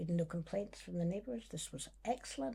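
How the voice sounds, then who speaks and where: A woman speaks in a Scottish accent at a fairly low pitch. Her tone is dark and mellow, and somewhat breathy. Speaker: singer and musician. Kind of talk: casual chat.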